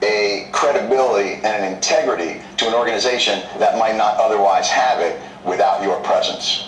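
Audible room echo and light background noise around a male speaker. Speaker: guest comedian on a news interview. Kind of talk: interview answer. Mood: earnest, mildly argumentative. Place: studio.

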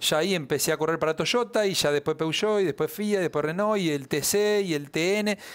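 A man with a high pitch, ordinary pitch variation and a fairly quick pace, in a quiet background. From Argentina. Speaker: racing driver; guest. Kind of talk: interview. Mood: relaxed, friendly. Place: studio. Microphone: headset.

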